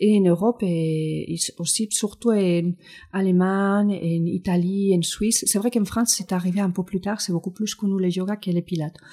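At a moderate pace, a woman with a medium pitch speaks in a somewhat breathy, dark, mellow tone with fairly even intonation. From Spain. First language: Spanish (speaking French). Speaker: physiotherapist and Pilates teacher. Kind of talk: interview. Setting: studio.

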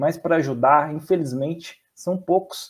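The man speaks at a fairly high pitch. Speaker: fan channel host. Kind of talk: casual interview. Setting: live stream. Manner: stammering.

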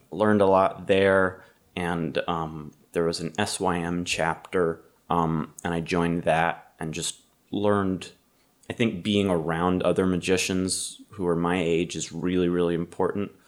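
A man with a very deep, low pitch and an American accent, fairly even intonation, and a fairly slow pace. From Massachusetts. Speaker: magician. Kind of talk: casual chat.

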